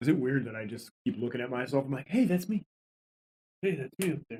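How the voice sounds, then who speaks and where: A medium-pitched, somewhat breathy man at a fairly quick pace, with lively intonation, big swings in loudness and long, frequent pauses, dry and close with no echo. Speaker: podcast host. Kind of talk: casual chat. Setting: home basement studio. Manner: soft-spoken. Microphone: too quiet, mic being adjusted.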